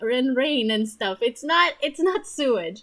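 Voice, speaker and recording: Speaking at a fairly slow pace, a woman with a non-native accent has a high voice. Her tone is bright and sharp, with lively intonation. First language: not English. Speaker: gaming video creator. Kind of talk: gameplay commentary. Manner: casual with many fillers.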